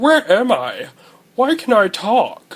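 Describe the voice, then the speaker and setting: Adopting a put-on character voice, a man goes extremely high in pitch. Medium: machinima. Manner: polite, dry.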